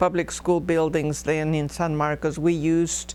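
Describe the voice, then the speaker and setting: The speech runs at a fairly slow pace with music in the background. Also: woman. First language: Spanish. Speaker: oral history interviewee. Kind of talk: oral history interview. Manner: halting, many fillers.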